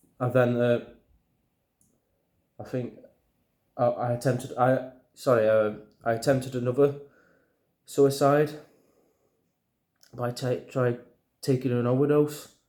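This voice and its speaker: A man with a strong Yorkshire accent talks at a fairly slow pace in a dark, mellow, nervous tone, his medium-pitched voice flat and monotone, with long, frequent pauses. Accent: thick Yorkshire. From Yorkshire, England. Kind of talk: personal talk to camera. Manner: nervous, hesitant, stuttering.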